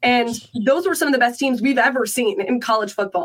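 A woman talks at a very fast pace in a fairly high voice. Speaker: sports panelist. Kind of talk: casual sports talk.

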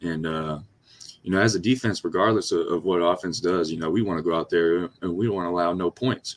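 Talking at a very fast pace, a man with a very deep, low pitch keeps a fairly even intonation, in a dry, close sound with no echo on a very clean recording with a silent background. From Louisiana. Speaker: college football player. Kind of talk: interview.

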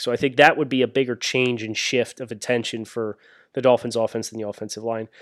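A man with an American accent, medium pitch, and a fairly quick pace, on a very clean recording with a silent background. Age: 30s. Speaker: sports podcast host. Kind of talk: casual chat.

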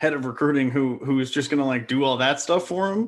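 A man speaks in a plain, everyday voice, pitched fairly high. His pitch varies in an ordinary way. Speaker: sports podcast guest. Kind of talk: casual sports talk conversation. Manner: joking, conversational.

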